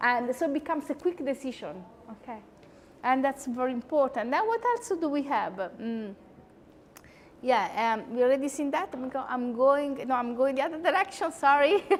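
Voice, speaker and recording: Over noticeable background noise, a high-pitched woman with an Italian accent speaks at a moderate pace with lively intonation. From Italy. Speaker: psychology lecturer. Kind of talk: conversational lecture. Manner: animated.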